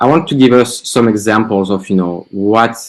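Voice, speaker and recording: With a French accent, the speaker moves at a fairly quick pace with ordinary pitch variation. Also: man. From France. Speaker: marketing agency founder. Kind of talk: webinar presentation.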